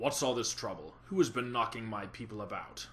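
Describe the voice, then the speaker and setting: Over clear background noise, a man uses a raspy, put-on character voice. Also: medium pitch for a man, fairly quick pace. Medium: read story. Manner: stern, commanding.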